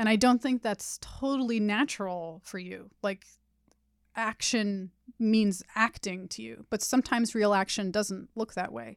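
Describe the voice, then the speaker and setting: An unremarkable speaking voice with an American accent, ordinary pitch variation and a fairly slow pace, on a very clean recording with a silent background. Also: woman. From Los Angeles, San Fernando Valley. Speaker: podcast host and tarot reader. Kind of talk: tarot reading conversation.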